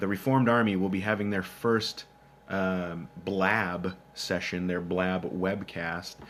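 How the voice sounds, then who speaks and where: In a Minnesotan accent, a man talks with a very deep, low pitch. His intonation is fairly even. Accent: Minnesota. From Minnesota, US Upper Midwest. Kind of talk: live Q&A stream reading chat. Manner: casual, many filler words.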